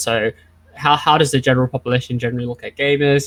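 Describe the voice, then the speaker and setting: A man speaks with an Australian accent. The sound is dry and close, with no echo. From Australia, Vietnamese family. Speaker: esports psychology speaker. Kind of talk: lecture. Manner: fast.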